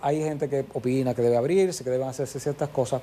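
A man talks at a very fast pace in a dark, mellow tone. His voice is somewhat breathy. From Santiago, Dominican Republic. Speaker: monument administrator. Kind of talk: TV interview.

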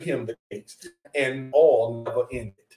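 A man speaks at a moderate pace in a medium-pitched, somewhat breathy voice. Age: 40s. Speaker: podcast co-host. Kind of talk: casual chat.

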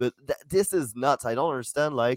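At a fairly quick pace, a man with a French accent speaks at a medium pitch with ordinary pitch variation, the sound dry and close with no echo. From France. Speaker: comedian and podcast co-host. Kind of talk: casual chat.

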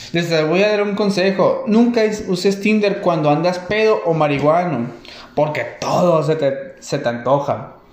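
A man speaks at a fairly slow pace with a Mexican accent, his pitch high for a man. Room echo is audible, and there is noticeable background noise. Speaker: stand-up comedian. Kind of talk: stand-up. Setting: stage with audience. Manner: halting.

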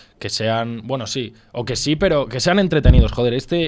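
At a fairly quick pace, a man talks in an unremarkable speaking voice with a medium pitch and ordinary pitch variation. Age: 20s. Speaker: podcast co-host. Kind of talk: casual chat.

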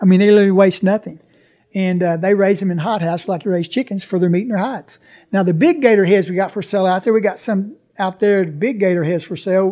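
A man with an Arkansas accent talks at a very fast pace in a high pitch with a dark, mellow tone. The recording is very clean, with a silent background. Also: fairly even intonation. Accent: Southern US (Arkansas). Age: 60s. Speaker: alligator farm operator. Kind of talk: interview.

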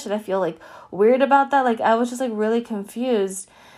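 A woman with a normal speaking voice talks at a fairly quick pace in a fairly high pitch, her intonation fairly even. The recording is very clean, with a silent background. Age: 20s. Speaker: podcast host. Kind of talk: solo spiritual podcast monologue. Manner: casual, many filler words.

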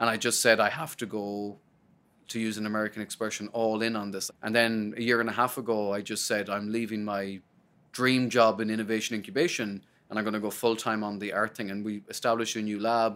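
In a very clean recording with a silent background, a man with an Irish accent talks fairly quickly in a fairly low, monotone and flat voice. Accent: Irish (Sligo). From Ireland, County Sligo. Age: 30s. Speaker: research executive. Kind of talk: interview.

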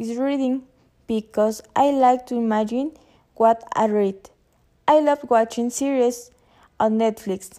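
With a Spanish accent, a woman speaks at a fairly slow pace in a high pitch with a dark, mellow tone and ordinary pitch variation. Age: 20s. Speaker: university student. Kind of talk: prepared self-introduction for a class. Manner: halting.

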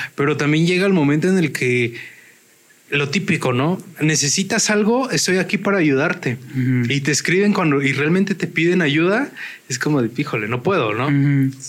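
Fairly high in pitch, a man with an ordinary speaking voice talks at a moderate pace with lively intonation. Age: 30s. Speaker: podcast co-host. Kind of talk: casual chat.

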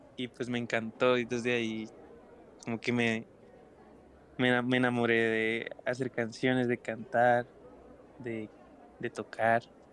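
A man at medium pitch speaks at a very slow pace. His intonation is monotone and flat, with noticeable background noise behind him. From Bogotá, Colombia. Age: 20s. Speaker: singer-songwriter. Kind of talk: casual interview chat.

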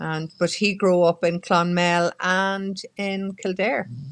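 In a quiet background, a woman with an Irish accent speaks at a fairly low pitch in a flat, monotone delivery. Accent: Irish (Mayo). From Ireland, County Mayo. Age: 60s. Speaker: journalist and radio presenter. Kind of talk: casual chat.

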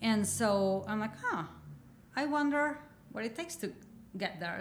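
Using lively intonation, a woman speaks at a fairly slow pace with a Mexican accent. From Mexico. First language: Spanish. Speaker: painter. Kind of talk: interview.

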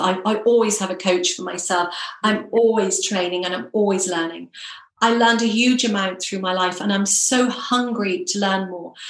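A woman with a British accent talks at a moderate pace with ordinary pitch variation, amid audible room echo and noticeable background noise. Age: 50s. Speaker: hypnotherapist and personal success coach. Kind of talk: interview.

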